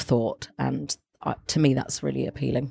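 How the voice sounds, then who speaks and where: A woman talks at a fairly quick pace. She has a London accent. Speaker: arts journalist and editor. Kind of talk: casual interview. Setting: gallery cafe.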